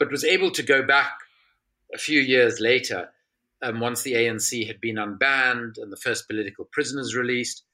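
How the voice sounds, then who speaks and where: With a bright, sharp tone, a man talks at a fairly quick pace and medium pitch, using ordinary pitch variation. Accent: South African. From South Africa. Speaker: author and former politician. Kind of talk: interview.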